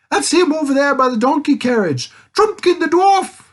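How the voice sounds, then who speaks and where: In a put-on character voice with a high pitch, the speaker talks at a moderate pace. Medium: read story. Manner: hooting, sleepy and muddled.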